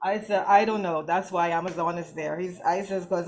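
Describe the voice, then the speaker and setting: A woman speaks at a medium pitch and a moderate pace. Background noise is noticeable. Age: 60s. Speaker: breast cancer survivor. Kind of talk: testimony. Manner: halting.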